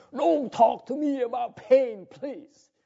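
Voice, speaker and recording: A man's loud, put-on character voice at an extremely high pitch, delivered at a fairly slow pace. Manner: loud, imitating another man.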